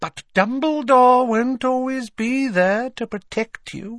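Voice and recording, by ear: A man uses a put-on character voice at an extremely high pitch, speaking at a slow pace with a fairly bright tone and ordinary pitch variation, on a very clean recording with a silent background.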